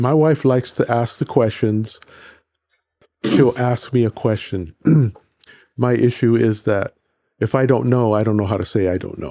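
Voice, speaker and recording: A man's dark, mellow voice at a medium pitch, with an American accent, a moderate pace, ordinary pitch variation and long, frequent pauses. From central California, Hollister. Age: 60s. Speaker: accountant, podcast guest. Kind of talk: casual interview. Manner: halting.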